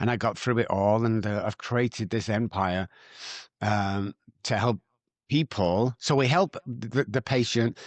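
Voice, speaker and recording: Speaking with a Manchester accent, a man with a medium-pitched voice keeps very even loudness and ordinary pitch variation, recorded with a dry, close sound with no echo against a quiet background. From Manchester, northern England. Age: 60s. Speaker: addiction recovery doctor. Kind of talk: podcast interview.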